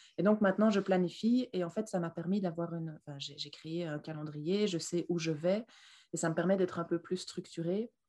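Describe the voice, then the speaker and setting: Fairly low in pitch and dark, mellow in tone, a woman speaks at a moderate pace with fairly even intonation. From Belgium. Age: 20s. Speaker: leather goods entrepreneur. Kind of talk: interview. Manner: talkative.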